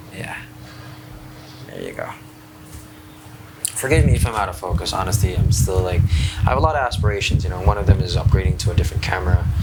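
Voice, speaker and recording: Very fast and very deep, a man with a Filipino accent talks with lively intonation, big swings in loudness and long, frequent pauses, against audible room echo and noticeable background noise. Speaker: vlogger. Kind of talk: casual vlog monologue. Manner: halting, many fillers and repeats.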